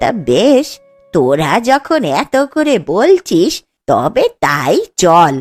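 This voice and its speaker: A woman performs a cartoonish character voice at a very slow pace, fairly high in pitch with very wide pitch swings and very even loudness, in a dry, close sound with no echo and faint music in the background. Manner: complaining, reproachful.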